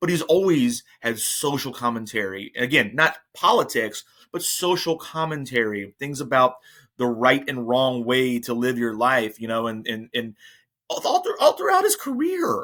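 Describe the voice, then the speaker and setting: Against a very clean, silent background, a bright, sharp tone with an American accent comes through at a moderate pace with ordinary pitch variation. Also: man, medium pitch for a man. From New Jersey. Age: 40s. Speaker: podcast host. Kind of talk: casual chat. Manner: halting, many repeated words.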